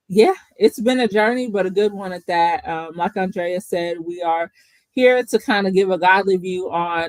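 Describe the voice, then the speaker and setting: Speaking in a Kentucky accent at a moderate pace, a woman has a medium pitch and ordinary pitch variation, with a dry, close sound and no echo. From Kentucky (Bowling Green). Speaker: podcast co-host, therapist. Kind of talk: casual chat.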